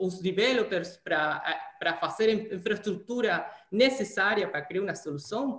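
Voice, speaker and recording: Audible room echo surrounds a man speaking at a high pitch with an Argentine accent. He talks at a fairly slow pace with ordinary pitch variation. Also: quiet background. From Argentina, Santa Fe. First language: Spanish (speaking Portuguese). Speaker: data scientist; interviewee. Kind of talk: interview. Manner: halting. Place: home room. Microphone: video call.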